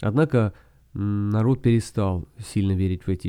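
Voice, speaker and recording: In a very clean recording with a silent background, a man with a fairly low pitch and a dark, mellow tone speaks at a moderate pace. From Russia (Soviet Union). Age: 40s. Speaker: podcast host. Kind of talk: solo podcast monologue.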